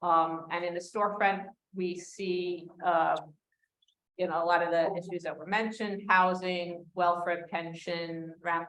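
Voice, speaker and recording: A woman's fairly low voice in a New York accent, monotone and flat, at a fairly slow pace. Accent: New York American English. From US Northeast, New York City. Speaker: community legal advocate, former housing lawyer. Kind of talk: panel discussion.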